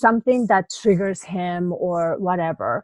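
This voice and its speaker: Captured in a dry, close sound with no echo, a woman speaks with a Japanese accent. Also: quiet background. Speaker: life coach. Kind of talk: interview.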